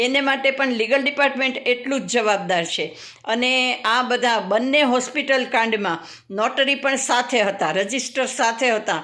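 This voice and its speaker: Pitched high, a woman's voice moves with ordinary pitch variation. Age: 60s. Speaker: lawyer. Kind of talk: advice monologue to camera.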